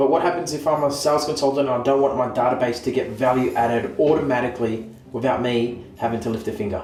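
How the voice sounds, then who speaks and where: A man speaks very fast with hardly any pauses and fairly even intonation. Noticeable background noise is present. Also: medium pitch for a man. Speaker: real estate agency owner and auctioneer. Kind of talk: scripted comedic sketch.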